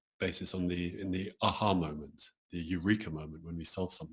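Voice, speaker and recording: A man with a British accent and a very deep, low pitch, somewhat breathy, at a fairly quick pace. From England, London. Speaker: acupuncturist and creativity coach. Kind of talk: interview.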